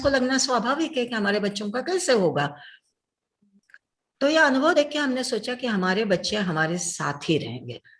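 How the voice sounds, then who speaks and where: Her voice sits at a fairly high pitch, swings very widely, and carries vocal fry. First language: Telugu (speaking Hindi). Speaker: doctor and social worker. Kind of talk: interview.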